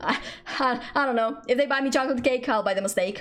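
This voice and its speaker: This woman has a high pitch. Her pace is fairly quick. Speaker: vtuber streamer. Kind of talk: casual live stream chat. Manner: fast; energetic.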